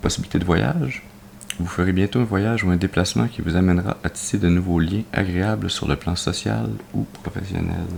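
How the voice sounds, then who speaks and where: Over noticeable background noise, a man with a very deep, low pitch talks at a fairly quick pace with lively intonation. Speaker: tarot card reader. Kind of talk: tarot reading presentation.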